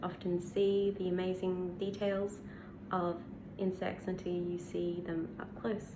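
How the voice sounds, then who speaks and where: In audible room echo, a woman with an Australian accent speaks at a fairly slow pace and a fairly low pitch. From Australia, Western Australia. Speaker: bee scientist and science communicator. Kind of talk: casual Q&A to camera. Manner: hesitant with many fillers.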